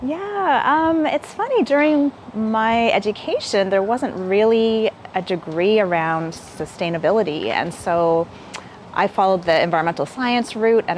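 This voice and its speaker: This woman's intonation is lively, heard against noticeable background noise. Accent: Canadian. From Canada, Hamilton, Ontario. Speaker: local government sustainability officer. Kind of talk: interview. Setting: live stream.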